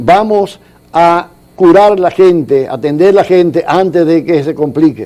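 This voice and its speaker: The man's pitch is high. He talks at a fairly slow pace. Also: ordinary pitch variation. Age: 70s. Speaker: economist, social security expert. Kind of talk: TV interview.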